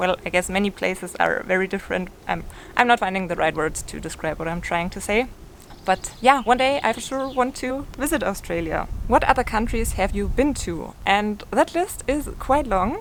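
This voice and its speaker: Speaking with a German accent, a woman uses medium pitch and lively intonation at a moderate pace. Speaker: lifestyle YouTuber. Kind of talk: casual Q&A monologue.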